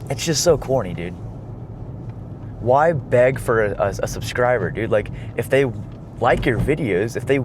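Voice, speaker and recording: Through audible room echo and noticeable background noise, a man talks with long, frequent pauses. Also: medium pitch for a man, ordinary pitch variation, moderate pace. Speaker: car vlogger. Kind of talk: casual chat while driving. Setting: in a car. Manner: talkative.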